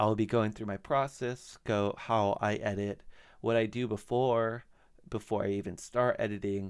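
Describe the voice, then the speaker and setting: This man speaks at a moderate pace with fairly low pitch and fairly even intonation, on a very clean recording with a silent background. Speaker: podcast editor and host. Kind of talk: screen-share tutorial. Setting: screen recording. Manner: loud; casual, some false starts.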